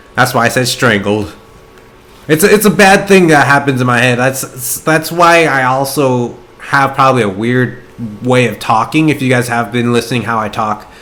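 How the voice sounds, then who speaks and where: Noticeable background noise sits behind this man. He has a medium pitch and lively intonation. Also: moderate pace. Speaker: gaming YouTuber. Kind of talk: gameplay commentary. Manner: sometimes tongue-tied, blends words.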